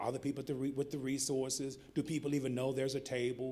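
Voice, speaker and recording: This man's voice sits at a fairly high pitch. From US South, North Carolina. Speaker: keynote speaker, public health nonprofit director. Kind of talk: conference keynote speech. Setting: conference podium with audience. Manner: animated storytelling, informal.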